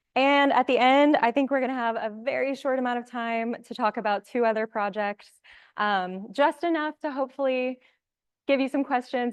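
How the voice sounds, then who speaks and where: A woman's voice with ordinary pitch variation, in a dry, close sound with no echo. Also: quiet background. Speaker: conservation researcher. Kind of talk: lecture.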